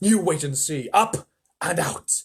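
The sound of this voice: A man's put-on character voice with a husky, rough edge, fairly high pitch, lively intonation and a slow pace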